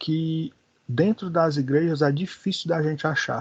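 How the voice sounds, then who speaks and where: Ordinary pitch variation over a quiet background. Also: man. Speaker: Bible school teacher. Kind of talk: lecture. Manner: slow.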